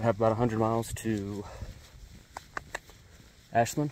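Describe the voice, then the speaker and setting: A fairly low-pitched man with monotone, flat intonation, a moderate pace, light background noise and a dry sound with no echo. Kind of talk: casual vlog chat. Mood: relaxed, content. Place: open country. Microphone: phone near.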